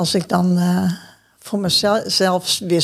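A woman speaks at a fairly low pitch with a somewhat breathy voice. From Groningen, northern Netherlands. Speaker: churchgoer sharing life story. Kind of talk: casual interview conversation. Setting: church.

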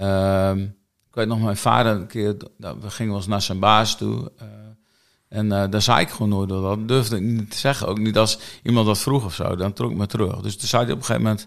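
In a very clean recording with a silent background, a man with a fairly low pitch and an ordinary speaking voice talks at a fairly quick pace with fairly even intonation. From Netherlands, Friesland. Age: 50s. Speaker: church prayer and mission coordinator. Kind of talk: casual interview. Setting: studio, filmed.

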